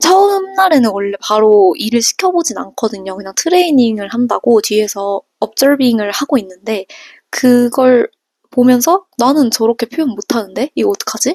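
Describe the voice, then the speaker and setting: With very wide pitch swings, a woman speaks at a moderate pace in a high voice, the sound dry and close with no echo. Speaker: vlogger, working holiday hotel worker. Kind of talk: casual vlog storytelling.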